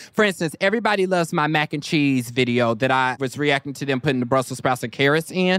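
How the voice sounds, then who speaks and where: In an American accent, a man with a fairly high pitch talks very fast with lively intonation and an animated tone, the sound dry and close with no echo on a very clean recording with a silent background. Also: hardly any pauses. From Kansas. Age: 20s. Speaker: internet comedian and TV personality. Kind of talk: casual chat.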